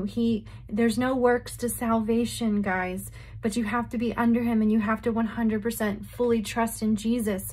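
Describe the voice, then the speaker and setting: Somewhat breathy speech at a moderate pace with monotone, flat intonation over a quiet background. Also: woman. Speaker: religious vlogger. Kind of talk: casual vlog chat. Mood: earnest, emotional. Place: home room. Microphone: phone near.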